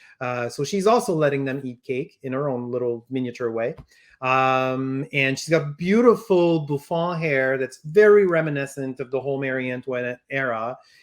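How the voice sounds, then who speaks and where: Man with a French accent, fairly high pitch, ordinary pitch variation and a moderate pace. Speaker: toy company representative. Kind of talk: product unveiling discussion. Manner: halting, many fillers.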